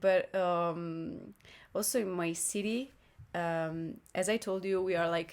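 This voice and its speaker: A woman speaks at a fairly slow pace in an Italian accent, her pitch medium and her intonation fairly even. Long, frequent pauses break up the very clean recording, which has a silent background. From northern Italy, Lombardy. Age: 20s. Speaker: exchange student and singer. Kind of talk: casual interview chat. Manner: halting, searching for words.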